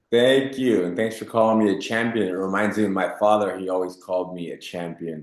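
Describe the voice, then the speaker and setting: Fairly quick and hardly pausing, a man talks in a normal speaking voice. His pitch is fairly low and his intonation fairly even. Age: 40s. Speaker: jiu-jitsu instructor. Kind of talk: interview.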